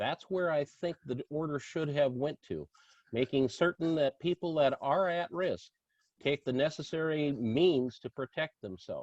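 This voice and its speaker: In a dry, close recording with no echo, a man with a normal speaking voice talks at a moderate pace in a fairly high pitch with lively intonation. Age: 60s. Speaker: political candidate. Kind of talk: candidate forum answer.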